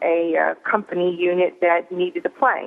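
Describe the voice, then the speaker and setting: A woman at medium pitch, fairly slow pace and fairly even intonation. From Arkansas, US South (Fort Smith). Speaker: author. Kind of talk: radio interview. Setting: phone call. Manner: hesitant, many fillers.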